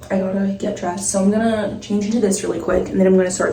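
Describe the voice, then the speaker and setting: Amid audible room echo and noticeable background noise, a woman talks at a very fast pace. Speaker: vlogger. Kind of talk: casual vlog talk. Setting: home apartment. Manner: fast, filler-heavy.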